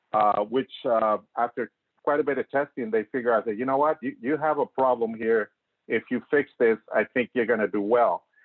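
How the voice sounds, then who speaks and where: A man speaks with a Spanish accent. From Mexico. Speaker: green building professional. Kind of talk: talk.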